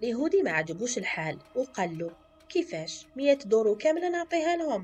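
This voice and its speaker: A woman with an Algerian accent talks at a moderate pace, her pitch swinging very widely over music in the background. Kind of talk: folk tale storytelling.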